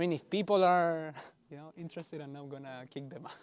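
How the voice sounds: A man's fairly high voice, clear, smooth tone, ordinary pitch variation and fairly quick pace.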